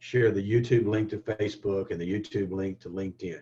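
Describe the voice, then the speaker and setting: A man with a Southern US accent speaks in a dark, mellow tone, somewhat breathy. His pace is moderate and his pitch varies in an ordinary way. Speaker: digital marketing instructor. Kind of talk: webinar tutorial. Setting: online webinar. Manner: halting, many fillers and restarts.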